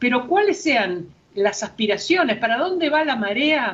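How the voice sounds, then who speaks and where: Moving at a moderate pace, a woman speaks with very wide swings in pitch. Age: 70s. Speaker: philosopher and gender researcher. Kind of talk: panel discussion.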